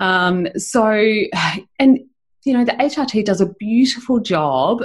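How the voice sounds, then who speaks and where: A somewhat breathy woman with an Australian accent. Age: 40s. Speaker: chiropractor and women's health specialist. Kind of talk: interview.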